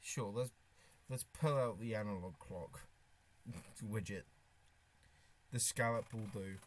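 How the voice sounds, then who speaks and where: Using a British accent, a man speaks at a fairly slow pace with ordinary pitch variation and long, frequent pauses. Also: medium pitch for a man. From Britain. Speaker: streamer. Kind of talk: casual live stream chat. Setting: live stream, wearing a face mask. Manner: halting, with restarts and fillers.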